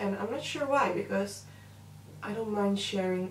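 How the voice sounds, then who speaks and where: Against audible room echo, a woman talks at a fairly slow pace. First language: Dutch. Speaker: makeup artist and beauty vlogger. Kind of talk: makeup tutorial with casual chat. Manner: hesitant, filler-heavy.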